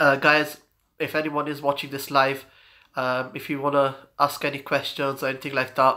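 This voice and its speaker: Bright and sharp in tone, a man speaks with monotone, flat intonation at a fairly high pitch on a very clean recording with a silent background. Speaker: fitness vlogger. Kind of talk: casual livestream chat. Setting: live stream. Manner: hesitant, many fillers.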